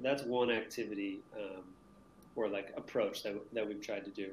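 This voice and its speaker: A man with an American accent speaks at a moderate pace with fairly even intonation, and the room echo is audible. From Maine, US. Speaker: teacher. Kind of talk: casual interview.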